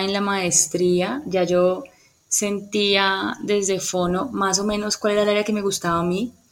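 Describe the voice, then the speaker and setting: A woman speaks at a fairly slow pace with fairly even intonation. Noticeable background noise sits behind her voice. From Colombia, Cali. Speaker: speech therapist and music therapist. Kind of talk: interview.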